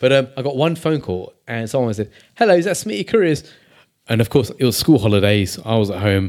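In a plain, everyday voice, a man speaks at a medium pitch with lively intonation. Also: fairly quick pace. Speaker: podcast host. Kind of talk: casual chat.

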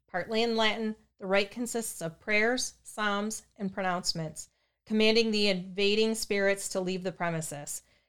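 The speaker is reading aloud in a natural voice. Behind it, the background is quiet.

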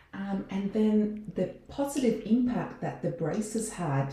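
Audible room echo carries a woman's lively intonation as she speaks in an Australian accent. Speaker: dentist. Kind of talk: casual chat.

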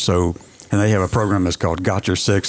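A man with a very deep, low pitch talks with fairly even intonation over music in the background.

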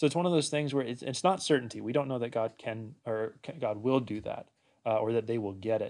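Speaking fairly quickly with an American accent, a man uses a medium pitch and ordinary pitch variation. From US Pacific Northwest (Washington State). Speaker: pastor. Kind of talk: casual chat. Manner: halting, many fillers.

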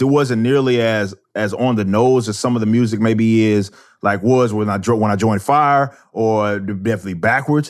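A man with an American accent speaks in a normal speaking voice at a medium pitch. His pace is moderate and his intonation fairly even. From Texas, Dallas. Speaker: musician and commentator. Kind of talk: interview. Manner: casual, with frequent repetitions.

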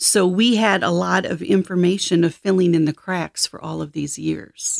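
A woman with an American accent, fairly low pitch, vocal fry, and lively intonation at a fairly slow pace, on a very clean recording with a silent background and a dry, close sound with no echo. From Michigan, US. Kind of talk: interview about faith and life story.

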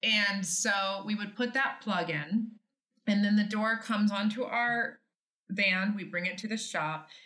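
A woman speaks at a fairly slow pace in a medium pitch, her tone bright and sharp and her intonation fairly even. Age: 40s. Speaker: business owner. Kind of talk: interview.

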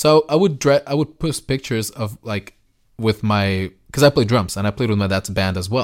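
A man speaks at medium pitch and a moderate pace, his tone animated and his intonation lively. The sound is dry and close with no echo, and the recording is very clean over a silent background. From Jalisco, Mexico; moved to US at nine. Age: 30s. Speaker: music media entrepreneur. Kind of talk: interview.

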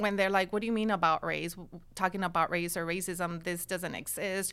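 A woman's bright, sharp tone comes through on a very clean recording against a silent background. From California, Watsonville; born in Nayarit, Mexico. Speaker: sociology professor. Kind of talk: interview.

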